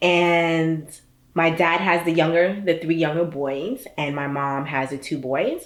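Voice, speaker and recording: A woman speaks with a New York accent at a fairly low pitch and a fairly slow pace. Her pitch varies an ordinary amount, and the recording is very clean with a silent background. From US Northeast, Brooklyn New York. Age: 30s. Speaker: startup founder. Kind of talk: personal interview monologue. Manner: casual, with many fillers.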